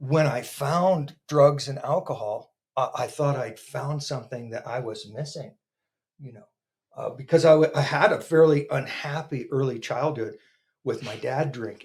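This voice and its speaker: A man with an American accent speaks at a moderate pace in a fairly high, somewhat breathy voice with ordinary pitch variation. His loudness swings widely. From Northern California, US. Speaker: podcast guest in addiction recovery. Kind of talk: testimony. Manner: halting, with stammering repetitions.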